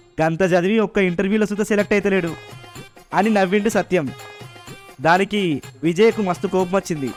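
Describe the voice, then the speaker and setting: A man with a high pitch and fairly even intonation talks while music plays in the background. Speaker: radio jockey narrator. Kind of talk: audio drama narration.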